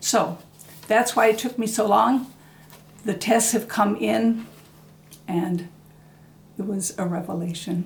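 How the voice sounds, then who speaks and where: A woman speaks at a fairly slow pace in a somewhat breathy voice, with ordinary pitch variation. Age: 70s. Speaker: former Jehovah's Witness. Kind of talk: casual interview answer.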